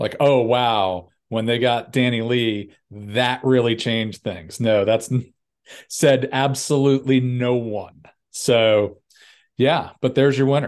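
Speaking at a very slow pace, a man keeps his medium-pitched voice in fairly even intonation. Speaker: golf podcast co-host. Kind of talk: casual chat.

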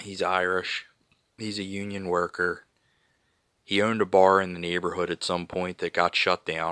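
Over a quiet background with a dry, close sound and no echo, a man with a very deep, low pitch and a bright, sharp tone speaks at a moderate pace with long, frequent pauses. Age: 30s. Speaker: podcast host. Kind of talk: solo commentary. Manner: animated.

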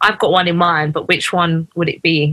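A woman's fairly low voice comes across bright and sharp, with a dry, close sound and no echo. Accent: London. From UK, Ugandan family. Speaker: podcast host. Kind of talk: casual chat.

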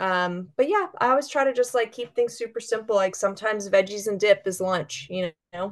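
Speaking fairly quickly in an ordinary speaking voice, a woman at medium pitch with ordinary pitch variation hardly pauses at all. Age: 30s. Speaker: chef. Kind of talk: casual chat.

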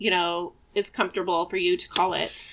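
A woman with an American accent speaks at a moderate pace in a medium pitch, her tone bright and sharp, on a very clean recording with a silent background. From Oregon (Eugene). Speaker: podcast co-host. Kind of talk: casual chat.

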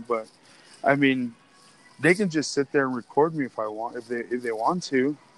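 A man in a normal speaking voice, moderate pace and fairly even intonation, with a dry, close sound and no echo. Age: 30s. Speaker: podcast host. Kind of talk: casual chat. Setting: phone call; walking through a store.

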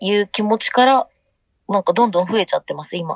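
In a normal speaking voice, a woman with a fairly high pitch and ordinary pitch variation is recorded with a dry, close sound and no echo. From Hiroshima, Japan. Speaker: band vocalist. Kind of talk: interview.

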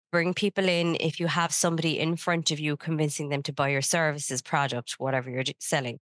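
In an Irish accent, the voice moves at a fairly quick pace, recorded dry and close with no echo in a quiet background. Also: woman. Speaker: podcast co-host, business consultant. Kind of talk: casual chat.

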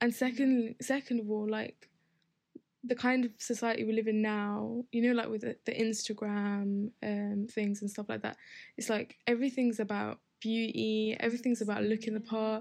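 Speaking with an Essex accent, a woman uses a fairly high pitch and monotone, flat intonation at a moderate pace, on a very clean recording with a silent background. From Essex, England. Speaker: podcast guest. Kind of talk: casual chat.

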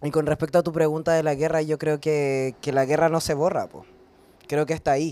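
A man with a Chilean accent talks at a fairly quick pace in a fairly high pitch. His tone is dark and mellow, his intonation monotone and flat. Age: 20s. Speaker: writer and poet. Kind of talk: panel conversation. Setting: brewery with live audience.

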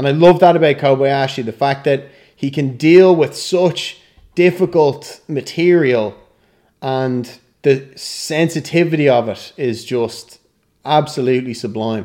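In an Irish accent, a man with a fairly high pitch and a dark, mellow tone speaks at a fairly slow pace with ordinary pitch variation. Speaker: actor and film director. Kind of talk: casual interview.

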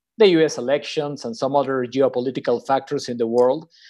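A man with a Spanish accent speaks over a quiet background. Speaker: podcast co-host, financial strategist. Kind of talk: interview.

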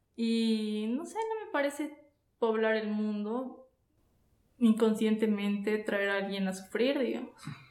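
Audible room echo surrounds a woman with a fairly high pitch who speaks at a very slow pace. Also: fairly even intonation. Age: 30s. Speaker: podcast guest. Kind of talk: casual chat.

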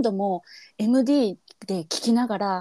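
A woman's dark, mellow voice with lively intonation and a Kansai accent, in a dry, close sound with no echo. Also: very clean recording, silent background. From Kansai, Japan. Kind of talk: casual chat.

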